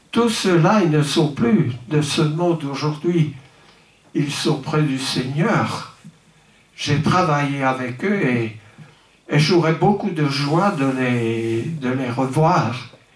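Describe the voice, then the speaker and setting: A man with a fairly high pitch and ordinary pitch variation speaks at a very slow pace with long, frequent pauses, amid audible room echo and noticeable background noise. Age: 80s+. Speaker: pastor. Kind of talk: speech at a celebration. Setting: church. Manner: halting, many repetitions and hesitations.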